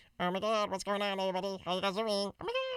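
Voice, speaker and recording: A put-on character voice at a middle pitch, delivered at a very fast pace. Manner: excited, gushing.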